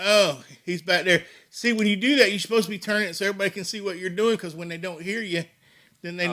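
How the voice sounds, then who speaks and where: In a raised, projected voice, a man speaks very fast at a high pitch, his bright, sharp tone fairly even in intonation but swinging widely in loudness. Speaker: sports talk show host. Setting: studio with microphones. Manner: loud, sounds like yelling even when talking normally.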